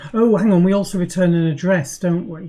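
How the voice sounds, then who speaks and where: Her voice is somewhat breathy, fairly low for a woman, with a dark, mellow tone. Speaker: programmer streaming live coding. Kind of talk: live coding tutorial. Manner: mumbling; hesitant, many fillers.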